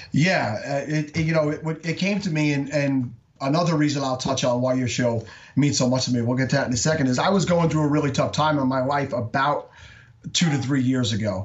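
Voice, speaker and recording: A man talks at a fairly quick pace in a fairly high, somewhat breathy voice. His loudness stays very even, and his pitch varies in an ordinary way. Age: 40s. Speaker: fantasy football podcaster. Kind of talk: casual interview.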